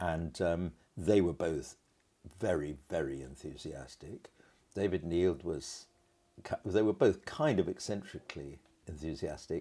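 At a fairly slow pace with long, frequent pauses, a man speaks at a very deep, low pitch with ordinary variation, a dark, mellow tone and vocal fry. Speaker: choral conductor and music teacher. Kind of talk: interview. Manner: animated.

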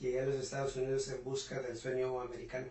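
A man at a medium pitch amid noticeable background noise and audible room echo. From Mexico, rural Puebla. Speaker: entrepreneur and business mentor. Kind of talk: interview.

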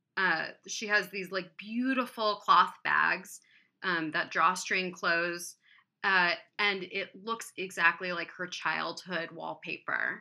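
Speaking at a very slow pace, a woman with an American accent has a bright, sharp tone at medium pitch, captured on a very clean recording with a silent background. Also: ordinary pitch variation. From US Midwest, Columbus, Ohio. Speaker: candle artist and sculptor. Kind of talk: casual chat.

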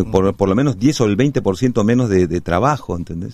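With a dark, mellow tone, a man speaks at a fairly quick pace with lively intonation. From Peru, Cusco. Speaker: actor. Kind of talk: interview. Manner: halting.

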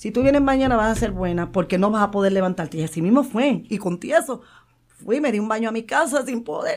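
Here is a woman with an unremarkable speaking voice, pitched fairly high. Her intonation is lively and her pace fairly quick. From Puerto Rico, Santurce. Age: 50s. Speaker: retired wrestler and nurse. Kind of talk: interview.

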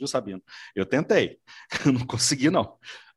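Lively in intonation and fairly quick in pace, a man with an ordinary speaking voice is heard on a very clean recording with a silent background. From Minas Gerais, Brazil. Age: 40s. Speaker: co-host and TV researcher. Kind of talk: casual discussion.

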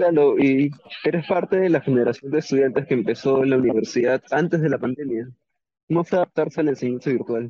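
A man with an ordinary speaking voice talks at a fairly quick pace, his fairly high pitch showing ordinary variation and his loudness very even. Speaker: university radio host. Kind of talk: radio interview. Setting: radio studio.

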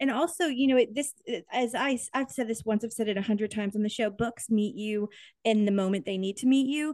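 A woman's normal speaking voice, fairly high in pitch, with ordinary pitch variation and a fairly quick pace against a quiet background. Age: 30s. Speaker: podcast host. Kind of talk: casual interview chat.

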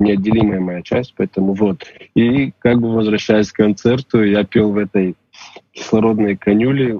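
Fairly low in pitch, a man talks at a moderate pace in an unremarkable speaking voice with fairly even intonation. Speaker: musician. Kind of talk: casual chat.

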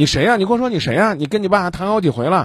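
This man talks at a very fast pace, his pitch swinging very widely. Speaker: radio call-in advice host. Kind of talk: call-in advice, blunt questioning. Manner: blunt, interrupting.

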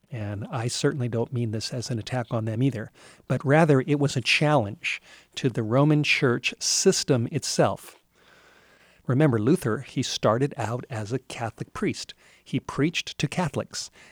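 An ordinary speaking voice with an American accent at a moderate pace and ordinary pitch variation, in a very clean recording with a silent background and a dry, close sound with no echo. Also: man, medium pitch for a man. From Southern California. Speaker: pastor. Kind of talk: sermon.

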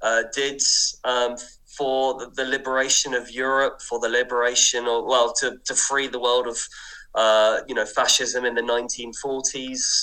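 Speaking with an English accent, a man uses a medium pitch and a moderate pace. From southern England, Kent. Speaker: historical researcher and writer. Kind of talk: radio interview. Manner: hesitant, with fillers.

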